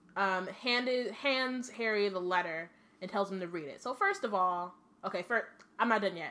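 With an American accent, a woman speaks at a moderate pace in a medium pitch, her tone animated, bright and sharp, with ordinary pitch variation. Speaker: podcast host. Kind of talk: casual chat. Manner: animated, casual.

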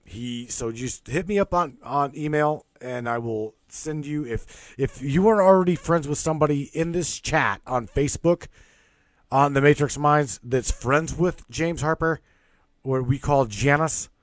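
A man speaks fairly slowly in a fairly high pitch with ordinary pitch variation, a normal speaking voice on a very clean recording with a silent background. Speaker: radio host. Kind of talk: casual chat.

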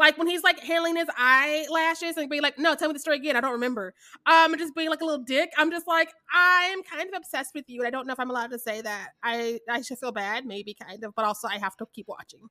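In a raised, projected voice with an American accent, a woman speaks very fast with hardly any pauses, her high pitch, lively intonation and bright, sharp tone coming through in a dry, close sound with no echo. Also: big swings in loudness, very clean recording, silent background. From US Midwest, Kansas City, Missouri. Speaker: podcast co-host. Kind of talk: casual chat.

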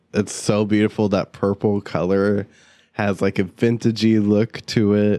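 A man talks at a fairly slow pace in a fairly low pitch with a dark, mellow tone, and the sound is dry and close with no echo. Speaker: podcast host. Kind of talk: casual chat.

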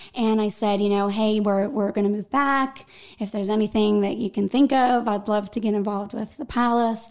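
A woman's fairly high voice in a western Pennsylvania accent, at a fairly quick pace. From western Pennsylvania (Greensburg). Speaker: arts nonprofit events director. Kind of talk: casual interview. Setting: studio.

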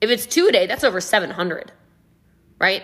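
Speaking at a fairly quick pace, a woman sounds energetic, with a bright, sharp tone and a fairly high pitch. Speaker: podcast host, network marketing trainer. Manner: fast talker; loud, energetic.

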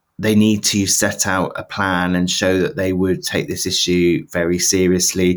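Over a very clean recording with a silent background, a man with a British accent talks at a fairly slow pace and a fairly low pitch. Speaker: political journalist. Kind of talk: casual chat.

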